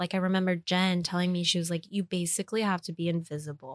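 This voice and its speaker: A woman with an American accent uses a normal speaking voice at medium pitch and a fairly quick pace, recorded very clean with a silent background and a dry, close sound with no echo. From US Northeast, New York City (Queens, East Harlem). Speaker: chef. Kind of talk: casual chat.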